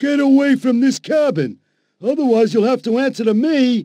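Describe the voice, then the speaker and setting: Shouting at a moderate pace, a man hits an extremely high pitch. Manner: shouting, menacing.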